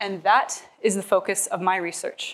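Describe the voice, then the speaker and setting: The speaker is a woman. She goes at a fairly slow pace. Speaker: presenter. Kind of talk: prepared research talk. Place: hall. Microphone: lapel.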